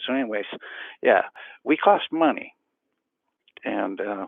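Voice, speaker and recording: A quiet man at a fairly slow pace. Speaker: self-healing practitioner and educator. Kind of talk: casual vlog talk to camera. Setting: early morning at home, camera on the floor. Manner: talking quietly; hesitant, many fillers.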